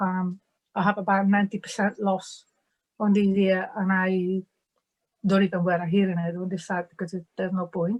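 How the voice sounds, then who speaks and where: A woman with a strong Italian accent, flat monotone intonation, moderate pace. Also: medium pitch for a woman. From Italy. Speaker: diversity and inclusion manager. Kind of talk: webinar panel talk. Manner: halting.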